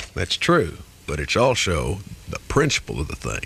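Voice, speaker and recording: Against noticeable background noise, a man speaks at a very slow pace with very wide pitch swings. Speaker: radio DJ. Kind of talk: morning radio show host talk. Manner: playful, comic.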